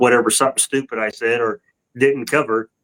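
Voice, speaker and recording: With a Southern US accent, a man speaks in a medium pitch. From US South. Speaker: catfishing angler and podcast co-host. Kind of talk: casual chat. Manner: halting, many restarts.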